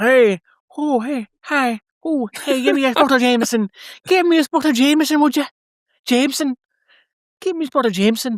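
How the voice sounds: A woman does a put-on character voice with an Irish accent, high in pitch and fairly quick, mumbling with long, frequent pauses. The recording is very clean, with a silent background.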